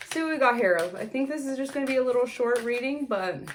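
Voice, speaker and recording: Lively intonation carries this voice at a moderate pace, with audible room echo. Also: woman. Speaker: tarot reader. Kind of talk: tarot reading.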